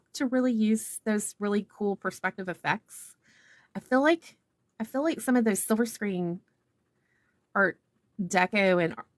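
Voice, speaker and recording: Dry and close with no echo, the recording holds a woman's fairly high-pitched voice in a Southern US accent. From US South. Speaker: art instructor. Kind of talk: tutorial. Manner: casual, meandering with fillers.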